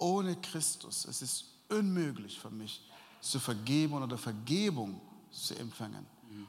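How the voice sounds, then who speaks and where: A man speaks at a medium pitch and a fairly slow pace, with very wide pitch swings. Audible room echo surrounds his voice. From Sudan. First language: Arabic (speaking German). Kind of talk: interview testimony. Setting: church event before sermon, audience present.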